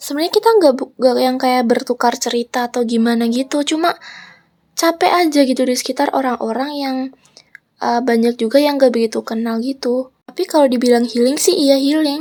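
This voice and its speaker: A woman talks at a fairly quick pace. Her voice is high, with ordinary pitch variation. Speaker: vlogger. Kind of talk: casual vlog voiceover.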